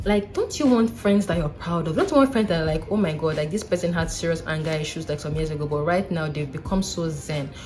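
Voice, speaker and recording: A woman with a fairly low pitch, ordinary pitch variation and a fairly quick pace, music in the background. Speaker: vlogger, doctor. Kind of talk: casual advice vlog. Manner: animated.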